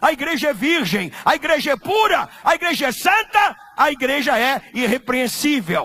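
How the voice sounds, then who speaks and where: A raised, projected voice with very wide pitch swings comes through over noticeable background noise. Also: man. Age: 70s. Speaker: pastor. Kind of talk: sermon. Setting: church. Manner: animated.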